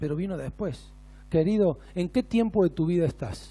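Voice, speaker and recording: A man with a high voice speaks at a moderate pace in a very clean recording over a silent background. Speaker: pastor. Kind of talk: sermon. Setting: church.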